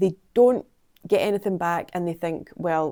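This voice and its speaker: A woman with a Scottish accent and a dark, mellow, fairly low voice speaks at a moderate pace on a very clean recording with a silent background. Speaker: PR consultant and vlogger. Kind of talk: vlog monologue.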